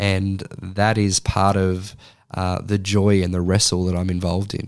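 On a very clean recording with a silent background, a man with an Australian accent speaks at a moderate pace in a fairly low, monotone, flat voice. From Australia (Sydney). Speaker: social work lecturer. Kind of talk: interview conversation.

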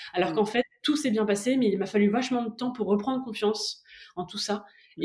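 This woman has a fairly high pitch and a somewhat breathy sound. She talks at a fairly quick pace. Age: 30s. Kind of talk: personal testimony interview.

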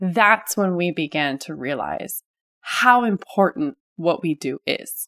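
A woman's fairly low voice in an American accent, very slow yet with lively intonation, in a dry, close sound with no echo. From Ohio and California, US. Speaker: hairstylist podcast host. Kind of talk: personal monologue.

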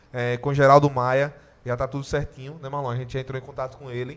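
This man talks at a very fast pace. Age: 20s. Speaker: podcast host. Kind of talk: casual chat.

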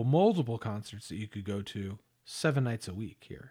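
A plain, everyday voice, a man at a moderate pace, in a very clean recording with a silent background. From Los Angeles area. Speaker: podcast co-host. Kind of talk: casual chat.

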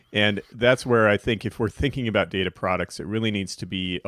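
A man talks in a normal speaking voice. His pitch is fairly low, and his intonation stays fairly even. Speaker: podcast co-host. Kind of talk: casual chat. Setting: live online Q&A.

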